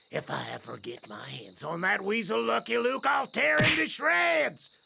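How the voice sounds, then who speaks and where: Someone uses a put-on character voice at a moderate pace, with light background noise. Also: man, fairly high pitch for a man. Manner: menacing, terrorizing.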